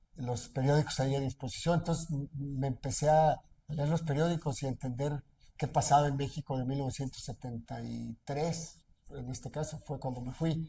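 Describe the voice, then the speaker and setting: A man's somewhat breathy voice at a moderate pace, with fairly even intonation. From central Mexico, Aguascalientes region. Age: 60s. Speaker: businessman and aspiring politician. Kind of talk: interview. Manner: hesitant, many fillers.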